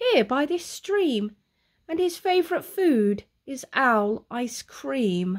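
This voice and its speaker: In a put-on character voice, a woman speaks at a high pitch and a very slow pace with very wide pitch swings, on a very clean recording with a silent background. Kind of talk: bedtime story. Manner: polite, cheeky, confident.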